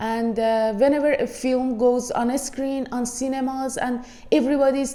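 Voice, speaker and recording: A woman with an Iranian accent, a high pitch, a dark, mellow tone and fairly even intonation. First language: Persian. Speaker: movie reviewer. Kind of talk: casual video review.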